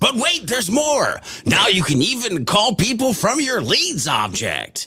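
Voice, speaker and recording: A man uses a put-on character voice, raised and projected, at a high pitch. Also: moderate pace. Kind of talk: hyped salesy pitch. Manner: enthusiastic, promotional.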